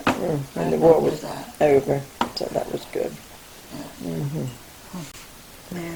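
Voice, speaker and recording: A woman talks very slowly while noticeable background noise runs underneath. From England. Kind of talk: interview answer. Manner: hesitant, rambling.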